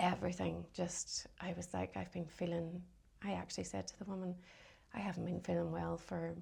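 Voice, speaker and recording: A woman with a Northern Irish accent speaks at a moderate pace in a very deep, low voice with vocal fry and very wide pitch swings, on a very clean recording with a silent background. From Northern Ireland, County Londonderry. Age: 40s. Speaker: cancer survivor. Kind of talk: casual interview.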